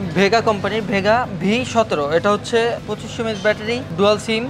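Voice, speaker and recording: Noticeable background noise sits behind the recording. A woman speaks with ordinary pitch variation. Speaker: shop seller. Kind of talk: product demonstration sales talk. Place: shop. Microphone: phone near.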